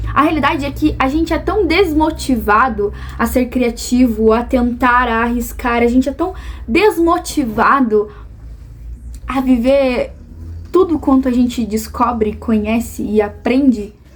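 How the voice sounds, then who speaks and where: A woman speaks at a fairly slow pace and a high pitch, with noticeable background noise behind her. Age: 20s. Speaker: vlogger. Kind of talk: personal vlog monologue.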